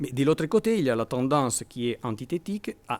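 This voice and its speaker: Lively in intonation, a man with a non-native accent is heard on a very clean recording with a silent background. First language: Italian (speaking French). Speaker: law professor. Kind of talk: academic conference talk. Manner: halting, with repetitions.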